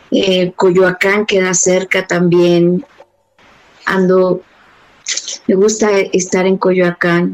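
A woman's medium-pitched, flat monotone at a very slow pace, broken by long, frequent pauses. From Mexico City. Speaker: dance movement therapist and dance company director. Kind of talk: interview.

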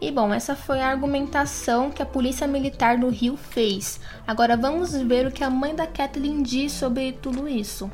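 Speaking in a high pitch with fairly even intonation, a woman talks at a moderate pace with hardly any pauses, amid audible room echo and noticeable background noise. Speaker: podcast news presenter. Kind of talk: news reading.

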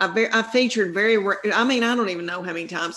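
A woman talks with a strong Southern US accent. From US South. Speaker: stand-up comedian. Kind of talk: casual interview chat.

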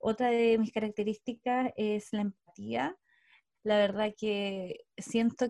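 Her voice is fairly high in pitch, with a dark, mellow tone and fairly even intonation. The sound of this woman is dry and close, with no echo. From southern Chile, Osorno. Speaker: coach and co-founder of a coaching company. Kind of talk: casual interview chat.

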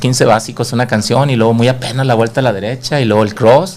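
This man has an unremarkable speaking voice at a medium pitch, talking fairly quickly with fairly even intonation. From Monterrey, Mexico. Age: 40s. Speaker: dance instructor. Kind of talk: casual chat. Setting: studio.

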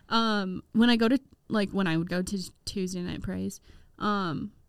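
A woman speaks in a Midwestern American accent. Her pitch is medium and her pace fairly slow. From US Midwest. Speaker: campus ministry leader. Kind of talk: casual chat.

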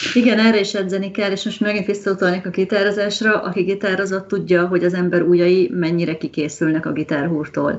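Amid noticeable background noise, a woman talks at a very fast pace with a medium pitch and fairly even intonation. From Hungary. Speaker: language mentor. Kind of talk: casual chat.

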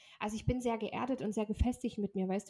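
A woman's somewhat breathy voice, fairly high in pitch with a dark, mellow tone and fairly even intonation, comes through dry and close with no echo. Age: 30s. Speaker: podcast co-host, mother. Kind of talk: casual chat.

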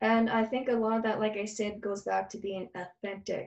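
Using a normal speaking voice, a woman talks at a fairly quick pace with a fairly high pitch. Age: 50s. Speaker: psychic medium and healer. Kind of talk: casual interview chat.

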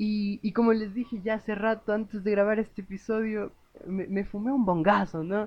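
A man with a Mexican accent speaks in a high pitch and a monotone, flat intonation. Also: moderate pace. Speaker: podcast host. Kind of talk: casual monologue. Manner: halting, with frequent laughs.

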